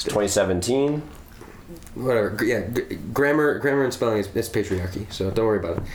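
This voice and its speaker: A man speaking at a moderate pace has a medium pitch and ordinary pitch variation, with noticeable background noise around him. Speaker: musician. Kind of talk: casual conversation. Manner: halting.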